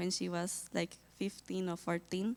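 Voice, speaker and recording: A woman with a Colombian accent is heard in a very clean recording against a silent background. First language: Spanish. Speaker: missionary volunteer. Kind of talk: testimony. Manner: halting.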